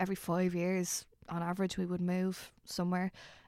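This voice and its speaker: A woman's voice with a dark, mellow tone comes through dry and close, with no echo. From Dublin, Ireland. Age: 20s. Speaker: actress. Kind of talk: casual interview chat.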